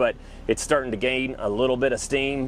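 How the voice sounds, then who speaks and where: A man with a normal speaking voice talks at a moderate pace, medium in pitch with ordinary pitch variation. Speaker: mobile tool truck dealer. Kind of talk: casual walkthrough tour.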